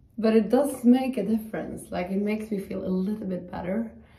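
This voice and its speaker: With audible room echo around her, a woman speaks in fairly even intonation. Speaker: yoga teacher. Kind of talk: guided yoga class. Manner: soothing, gentle, instructional; warm, chatty. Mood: calm, friendly. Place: home room. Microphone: camera far.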